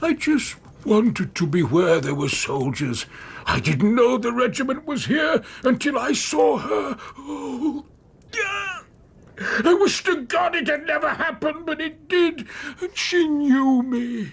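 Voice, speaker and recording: A man puts on a character voice at an extremely high pitch. He speaks fairly slowly with very wide pitch swings. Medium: audio drama. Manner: bitter, brooding, emotional.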